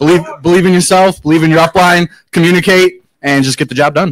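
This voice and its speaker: A man shouts at a high pitch with fairly even intonation, crowd noise behind him. The sound is dry and close, with no echo. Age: 30s. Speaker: warehouse manager, network marketing member. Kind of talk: short testimonial at an event.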